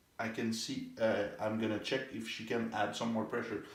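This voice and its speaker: The medium-pitched voice of a man carries audible room echo. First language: French. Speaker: therapist demonstrating muscle testing. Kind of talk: demonstration with patient.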